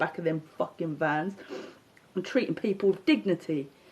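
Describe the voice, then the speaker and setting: Someone with a London accent speaks at a fairly quick pace. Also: woman. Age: 40s. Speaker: social media livestreamer. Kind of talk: casual monologue rant. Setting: live stream. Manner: animated. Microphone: unstable connection.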